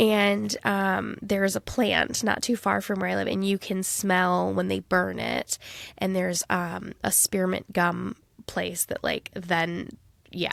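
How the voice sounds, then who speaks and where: Woman with a Midwestern accent at a very slow pace, dry and close with no echo, on a very clean recording with a silent background. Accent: non-regionally specific Midwestern. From US Midwest. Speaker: podcast co-host. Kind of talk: casual chat.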